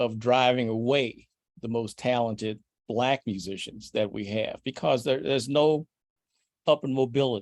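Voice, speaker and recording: In an American accent, a man with a normal speaking voice and medium pitch talks at a moderate pace, recorded with a dry, close sound and no echo. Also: ordinary pitch variation. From Brooklyn, Illinois, across the river from St Louis. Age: 60s. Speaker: jazz trumpet player. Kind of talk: podcast interview.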